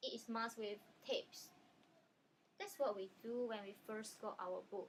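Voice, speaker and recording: A woman with a Chinese accent speaks at a fairly high pitch. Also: ordinary pitch variation, moderate pace. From China. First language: Chinese dialect. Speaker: language video creator. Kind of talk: educational vlog. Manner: casual with frequent um fillers.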